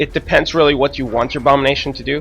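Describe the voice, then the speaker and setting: Music plays in the background. A man is speaking over it. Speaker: gaming commentator. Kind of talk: gameplay commentary. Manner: hesitant, many fillers.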